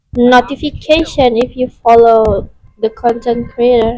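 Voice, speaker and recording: A woman with a non-native accent talks in a high pitch with fairly even intonation. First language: not English. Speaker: live streamer, gamer. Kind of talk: casual chat. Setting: live stream. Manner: halting.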